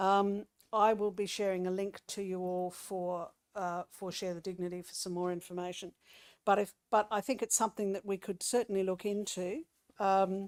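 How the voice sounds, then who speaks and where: A speaker with an Australian accent talks at a moderate pace in monotone, flat intonation. The sound is dry and close with no echo, on a very clean recording with a silent background. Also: woman, medium pitch for a woman. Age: 60s. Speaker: local councillor. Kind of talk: council meeting report. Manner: halting, with many fillers.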